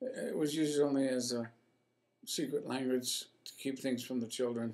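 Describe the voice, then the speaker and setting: In a flat, monotone delivery, the man talks at a mid-range pitch. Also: moderate pace. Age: 80s+. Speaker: retired attorney. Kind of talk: casual chat. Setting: at home. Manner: halting.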